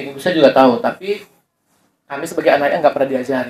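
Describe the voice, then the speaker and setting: A man is speaking with a Javanese accent. His pitch sits fairly high. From Medan, North Sumatra, Indonesia. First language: Javanese (speaking Indonesian). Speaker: university lecturer. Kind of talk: community workshop talk. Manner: conversational with repetitions.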